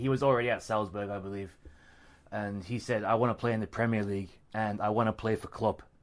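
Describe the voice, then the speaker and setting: On a very clean recording with a silent background, a man with an Australian accent speaks very fast at a fairly low pitch with fairly even intonation. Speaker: football podcast co-host. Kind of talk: casual chat.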